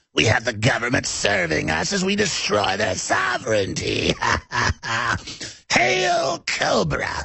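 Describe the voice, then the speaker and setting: Here is a man doing a cartoonish character voice. It sounds raspy and moves at a fairly slow pace. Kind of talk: 1980s cartoon villain. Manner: hissing, menacing.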